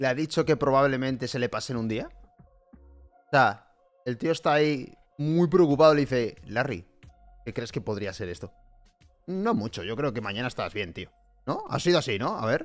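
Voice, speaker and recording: A man with long, frequent pauses, faint music in the background. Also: moderate pace. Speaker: reaction streamer. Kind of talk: reaction commentary. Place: home room.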